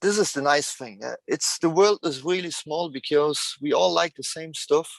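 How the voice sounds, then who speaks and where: Recorded with a dry, close sound and no echo, a man speaks with a fairly high pitch. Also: ordinary pitch variation, moderate pace, big swings in loudness. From France. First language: French. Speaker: truck enthusiast guest. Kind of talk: casual interview chat. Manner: halting, many fillers.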